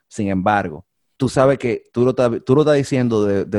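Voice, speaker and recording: With a Dominican accent, a man speaks at a fairly quick pace in a dark, mellow tone with ordinary pitch variation, recorded with a dry, close sound with no echo against a quiet background. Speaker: podcast host. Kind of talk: casual chat.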